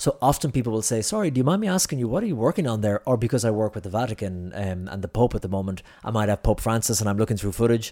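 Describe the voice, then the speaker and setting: Speech comes very fast in an Irish accent, with hardly any pauses. The tone is dark and mellow, with ordinary pitch variation. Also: man, medium pitch for a man. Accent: Irish (Clare). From Ireland, Ennis, County Clare. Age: 30s. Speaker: journalist. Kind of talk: casual interview chat. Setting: studio.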